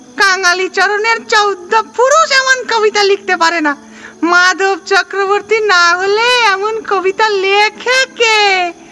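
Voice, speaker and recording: Putting on a character voice, a man talks at an extremely high pitch and a very slow pace while clear music plays in the background. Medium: read story. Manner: bossy, brusque.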